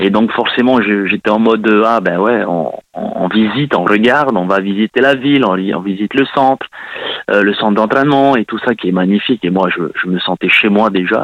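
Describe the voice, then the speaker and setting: At a moderate pace, a man with a fairly low pitch and ordinary pitch variation talks over noticeable background noise. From Tahiti. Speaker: former professional footballer. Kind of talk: interview. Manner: halting.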